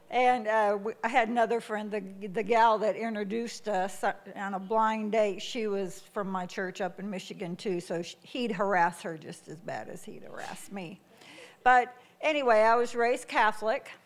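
This woman has an ordinary speaking voice with an American accent, pitched fairly high, at a moderate pace. The recording is very clean with a silent background. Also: fairly even intonation. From US Midwest. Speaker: missionary. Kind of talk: testimony. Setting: church.

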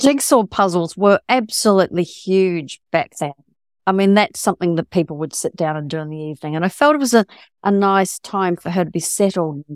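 Lively intonation marks a woman's medium-pitched voice with a New Zealand accent. The sound is dry and close with no echo, on a very clean recording with a silent background. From rural New Zealand. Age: 60s. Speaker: novelist. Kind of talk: interview.

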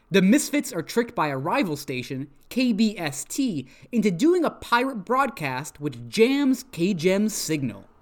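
Very wide pitch swings mark this man's high, animated voice, heard on a very clean recording with a silent background. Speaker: podcast host. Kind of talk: casual chat. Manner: deliberately putting on an announcer voice; animated, joking.

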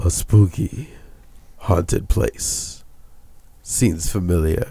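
A put-on character voice from a man, dramatic in tone, fairly low in pitch and at a very slow pace. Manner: dramatic, spooky, storytelling.

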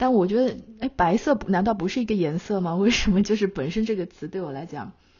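A somewhat breathy woman talks at a moderate pace with lively intonation. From China. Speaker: magazine editor and podcast host. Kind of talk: casual conversation.

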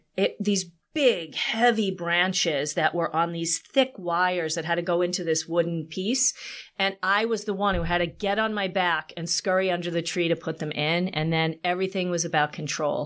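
Her voice plain and everyday, a woman with an American accent speaks at a moderate pace and fairly low pitch with ordinary pitch variation, on a very clean recording with a silent background. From Long Island, New York. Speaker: copywriter. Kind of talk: casual interview.

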